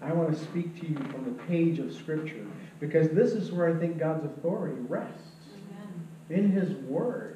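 Speaking at a moderate pace, a man with a high voice and ordinary pitch variation is heard with audible room echo and light background noise. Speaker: pastor. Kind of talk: sermon. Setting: church. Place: church. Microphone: camera far.

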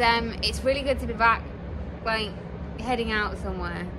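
The speech goes at a moderate pace with noticeable background noise. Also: woman. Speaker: travel vlogger. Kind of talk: casual vlog chat. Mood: cheerful, relaxed. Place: boat. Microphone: phone near.

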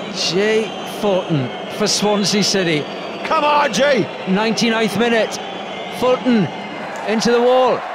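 Speech moves at a very slow pace with long, frequent pauses. Noticeable background noise is audible. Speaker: football commentator. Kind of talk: live match commentary.

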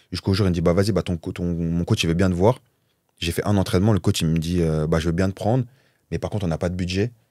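Fairly even intonation and a dark, mellow tone come at a very fast pace, broken by long, frequent pauses. The sound is dry with no echo, over a quiet background. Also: man, very deep, low pitch for a man. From Paris suburbs, France (Val-de-Marne); France. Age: 30s. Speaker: professional footballer; guest. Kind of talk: casual interview; interview answer. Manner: hesitant, many fillers. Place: studio. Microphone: studio mic.

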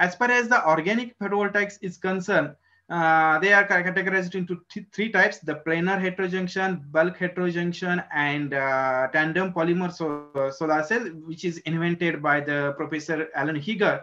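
In an Indian accent, a man with a high pitch speaks at a moderate pace with ordinary pitch variation over faint background music. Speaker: research professor in solar cell materials. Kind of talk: technical lecture. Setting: video call. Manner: halting. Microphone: video call.

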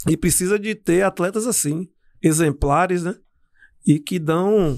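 At a fairly slow pace, a man speaks in a high pitch with ordinary pitch variation against a quiet background. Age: 40s. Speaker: former footballer; guest. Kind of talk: interview. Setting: studio. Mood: reflective, warm. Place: studio. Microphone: studio mic.

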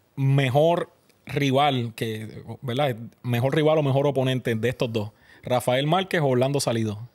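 Against a quiet background, a man with an ordinary speaking voice talks at a fairly slow pace in a medium pitch with ordinary pitch variation. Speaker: podcast host. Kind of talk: interview. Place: studio. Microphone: studio mic.

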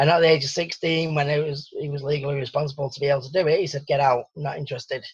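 A man's fairly high, somewhat breathy voice against a quiet background. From Salford, north-west England; north-west England. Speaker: survival coach; interview guest. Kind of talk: interview. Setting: radio interview. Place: home room. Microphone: video call.

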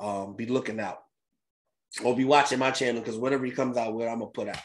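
A man talks very fast in an animated tone. The background is quiet. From Philadelphia, US. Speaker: crypto YouTuber. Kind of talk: casual vlog commentary. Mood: reflective, upbeat. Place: home room. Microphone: webcam.

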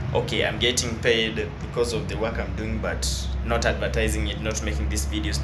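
Music plays in the background. A man speaks over it at a moderate pace. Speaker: vlogger. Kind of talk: casual vlog chat. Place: station. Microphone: phone near.

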